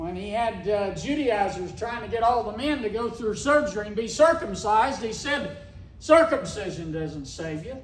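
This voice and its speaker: Speaking at a moderate pace in an Ozark accent, the voice makes very wide pitch swings against audible room echo. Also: man. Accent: Ozark Southern US. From Missouri Ozarks. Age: 60s. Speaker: cattle rancher. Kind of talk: speech at a meeting.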